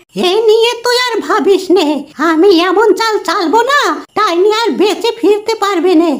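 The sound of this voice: A cartoonish character voice from a woman, extremely high in pitch, with ordinary pitch variation. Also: moderate pace.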